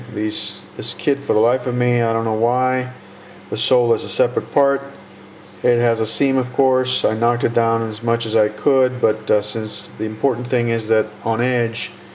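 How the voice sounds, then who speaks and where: Monotone, flat intonation from a man at medium pitch and moderate pace, over noticeable background noise. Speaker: model kit builder. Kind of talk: tutorial. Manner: halting. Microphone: muffled by face mask.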